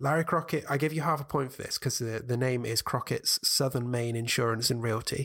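A man with a British accent, medium pitch and fairly even intonation, at a fairly quick pace with hardly any pauses. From United Kingdom. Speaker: author and musician. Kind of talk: casual chat, quiz game. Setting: video call.

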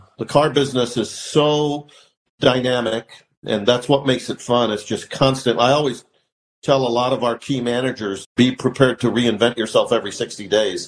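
With a Midwestern American accent, a man of medium pitch speaks at a moderate pace and keeps his intonation fairly even. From St. Louis, Missouri (moved from Iran at six). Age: 50s. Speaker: car dealership owner. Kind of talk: interview.

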